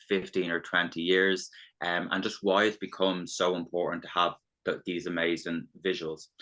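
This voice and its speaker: A man's very deep, low voice with a bright, sharp tone, in an Irish accent. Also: quiet background. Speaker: business development consultant. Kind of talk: webinar presentation. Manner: halting, many false starts.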